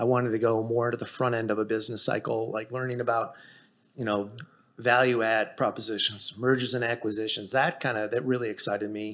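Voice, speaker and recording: In an American accent, a man speaks at medium pitch with flat, monotone intonation. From Chicago, then Texas from high school. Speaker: accountant. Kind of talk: casual interview.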